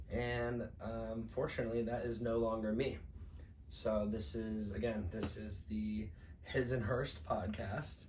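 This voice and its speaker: A man's fairly low voice at a fairly slow pace, with ordinary pitch variation, audible room echo and noticeable background noise. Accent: American. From US Midwest, St. Louis, Missouri. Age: 30s. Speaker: podcast co-host. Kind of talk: casual chat. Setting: indoor podcast recording while traveling.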